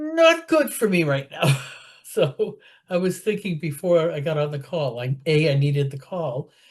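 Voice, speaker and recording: Ordinary pitch variation in a somewhat breathy voice. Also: woman, very deep, low pitch for a woman, moderate pace. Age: 70s. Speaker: support group participant. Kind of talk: casual group chat. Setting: video call.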